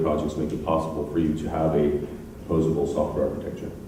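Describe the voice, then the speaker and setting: Speaking very fast in an American accent, a man with a very deep, low pitch is heard with audible room echo and noticeable background noise. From United States. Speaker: software engineer and conference speaker. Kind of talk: conference talk. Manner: hesitant, many fillers.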